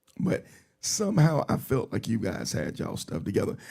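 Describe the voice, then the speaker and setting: The voice has a dark, mellow tone with vocal fry. Its pitch swings very widely. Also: man. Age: 50s. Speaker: podcast host and motorcycle ride organizer. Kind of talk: casual interview chat. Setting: live stream.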